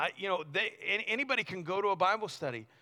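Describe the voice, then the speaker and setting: A man's raised, projected voice comes across high-pitched, bright and sharp, with an animated tone and a fairly quick pace. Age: 40s. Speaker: youth pastor. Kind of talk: sermon. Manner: halting.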